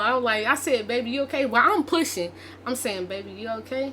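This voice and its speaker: Over noticeable background noise, a woman speaks at a fairly quick pace and a high pitch. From Arkansas. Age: 20s. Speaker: vlogger. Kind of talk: casual storytelling vlog.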